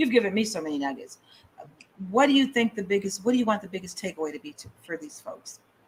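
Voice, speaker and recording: A woman at a very fast pace, lively intonation and big swings in loudness, with noticeable background noise. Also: medium pitch for a woman. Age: 60s. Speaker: radio host. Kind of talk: interview.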